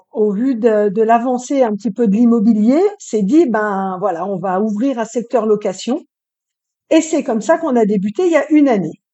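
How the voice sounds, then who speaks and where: A woman's ordinary speaking voice, fairly high in pitch, at a moderate pace with lively intonation. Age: 50s. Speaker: real estate rental manager. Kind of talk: casual interview.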